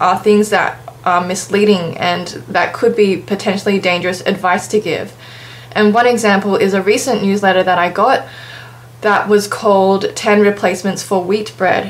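A woman at a moderate pace, with very even loudness and fairly even intonation. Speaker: vegan nutrition vlogger. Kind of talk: casual vlog commentary. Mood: calm, critical. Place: home room. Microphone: webcam.

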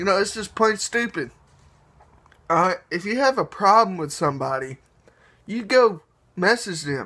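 This man talks at a moderate pace in a high, raised and projected voice with a bright, sharp tone. His intonation is lively, and he pauses often and at length. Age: 20s. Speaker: YouTuber. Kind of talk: casual vlog rant. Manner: animated. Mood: annoyed, ranting. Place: home room. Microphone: phone near.

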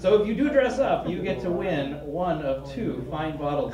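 A man keeps a moderate pace as noticeable background noise carries on around him. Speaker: president of a humanist group, event host. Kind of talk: announcements. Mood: upbeat, inviting. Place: meeting room. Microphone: handheld.

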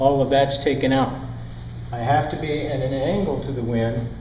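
A man speaks at a moderate pace. Audible room echo and light background noise are present. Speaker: sailing instructor. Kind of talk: lecture. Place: classroom. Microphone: lapel.

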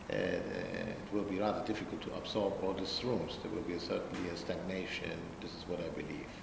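Through audible room echo and noticeable background noise, someone talks at a fairly quick pace, pitch varying in an ordinary way. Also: man. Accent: German. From Germany. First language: German. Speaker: hotel general manager. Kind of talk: interview.

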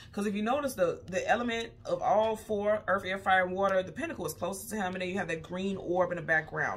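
The speech moves at a very fast pace. Light background noise can be heard. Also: woman. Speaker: tarot reader. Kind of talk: tarot reading commentary. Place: home room. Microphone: phone near.

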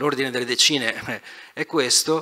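A man talking at a very fast pace. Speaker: energy company executive; speaker. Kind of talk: conference talk. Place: hall. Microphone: handheld.

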